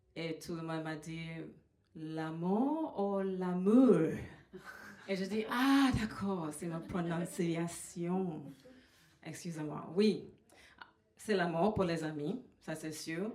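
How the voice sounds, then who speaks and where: Speaking at a very slow pace with a slight Trinidadian accent, a woman with a fairly low pitch is heard amid audible room echo. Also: ordinary pitch variation. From Trinidad and Tobago. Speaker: comedian. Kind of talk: stand-up. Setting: stage with audience. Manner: halting, many fillers.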